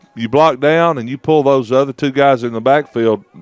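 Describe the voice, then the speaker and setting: Dry and close with no echo, this man's voice sits at a fairly high pitch with ordinary pitch variation. He speaks at a moderate pace in a Southern US accent. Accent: country Southern. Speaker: sports commentator. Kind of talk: live commentary. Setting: commentary booth. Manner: animated.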